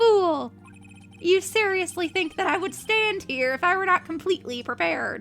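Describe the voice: A squeaky, put-on character voice speaks at an extremely high pitch and a moderate pace. Clear music plays in the background.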